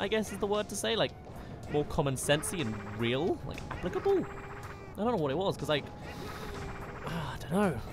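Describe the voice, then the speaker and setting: Fairly quick speech broken by long, frequent pauses, with noticeable background noise. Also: dry sound with no echo. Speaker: video game streamer. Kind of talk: casual, chatty.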